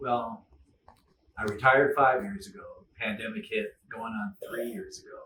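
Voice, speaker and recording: A man at medium pitch speaks in a bright, sharp tone at a moderate pace, with long, frequent pauses. His pitch swings very widely and his loudness shifts in big swings. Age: 70s. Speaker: retired ER doctor, guitar student. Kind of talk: interview. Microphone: poor quality audio.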